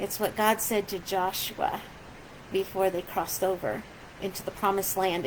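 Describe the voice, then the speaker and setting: There is noticeable background noise as a woman speaks. Her pace is moderate and her intonation fairly even. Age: 60s. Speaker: pastor. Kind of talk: casual video message to congregation. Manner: halting, many fillers.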